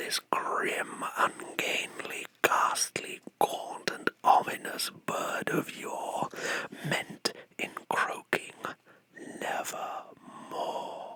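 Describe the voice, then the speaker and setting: A man whispers at a very slow pace. Noticeable background noise runs behind him. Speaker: Satanic chaplain and ASMR creator. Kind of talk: poetry reading, ASMR. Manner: whispered.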